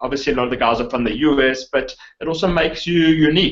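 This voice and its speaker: A man with a South African accent at a very fast pace, with ordinary pitch variation. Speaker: online marketer, interviewer. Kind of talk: interview.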